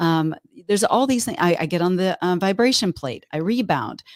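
In a slight Texan accent, a woman with a fairly low voice speaks in an animated, cheerful tone with very wide pitch swings. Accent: Texan twang, slight. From Texas. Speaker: fitness expert. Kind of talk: casual chat. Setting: video call.

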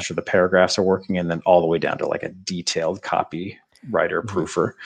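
Very fast, monotone speech from a man with a very deep, low voice and an American accent, the intonation flat. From upstate New York (Adirondacks). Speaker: ski company co-founder, book publisher. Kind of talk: interview. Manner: casual with frequent fillers.

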